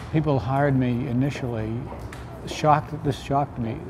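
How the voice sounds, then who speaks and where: A man speaks over noticeable background noise. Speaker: photographer. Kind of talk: interview answer. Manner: soft-spoken.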